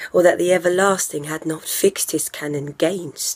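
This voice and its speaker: The speech from the woman is fairly slow. Her intonation is fairly even. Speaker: stage actor. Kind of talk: Shakespeare monologue performance. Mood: weary, bitter, grieving. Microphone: phone near.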